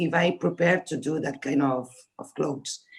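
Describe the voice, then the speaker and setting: Delivered at a moderate pace, the speech comes in a Spanish accent. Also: woman. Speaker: fashion designer. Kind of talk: panel discussion. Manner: halting.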